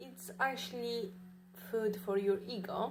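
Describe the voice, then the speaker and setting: A woman with a non-native accent at a fairly slow pace, fairly even intonation, audible room echo. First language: not English. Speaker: vlogger. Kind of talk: casual monologue. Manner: halting, many fillers.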